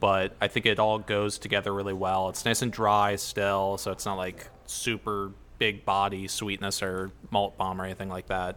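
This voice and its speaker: A man's fairly low, bright and sharp voice with a Midwestern American accent, flat and monotone at a moderate pace. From Ohio, US. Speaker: brewmaster. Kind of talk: casual interview. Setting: at a brewery.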